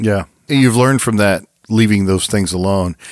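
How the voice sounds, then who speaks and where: At a fairly quick pace, a man with a plain, everyday voice speaks at a fairly low pitch with ordinary pitch variation, in a very clean recording with a silent background. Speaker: podcast host. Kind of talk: interview, podcast hosting. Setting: studio.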